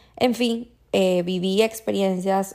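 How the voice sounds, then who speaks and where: Speaking very slowly, a woman uses a medium pitch. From Venezuela. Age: 20s. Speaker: podcast host. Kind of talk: casual monologue.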